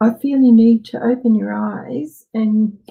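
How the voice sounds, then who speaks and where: This woman's pitch is fairly high. Her words come at a very slow pace. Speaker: psychic reader. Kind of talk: live psychic reading. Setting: livestream. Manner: halting.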